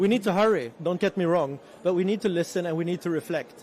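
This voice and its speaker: Speaking at a fairly quick pace with a Swedish accent, a man uses a high pitch and fairly even intonation. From Sweden. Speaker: resilience organization representative. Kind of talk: panel talk.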